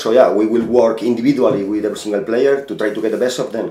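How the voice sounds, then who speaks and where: A man with a Spanish accent, medium pitch and ordinary pitch variation, at a very fast pace, amid noticeable background noise and audible room echo. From Spain. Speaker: football manager. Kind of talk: interview. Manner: halting.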